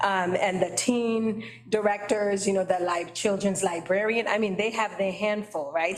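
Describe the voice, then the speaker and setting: A woman with an American accent speaks at a moderate pace and a medium pitch. Her intonation is fairly even, and there is noticeable background noise. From Boston, Dorchester (Haitian family). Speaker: library trustee, committee chair. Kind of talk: committee meeting discussion. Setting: meeting room with attendees in person. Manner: conversational, frequent fillers.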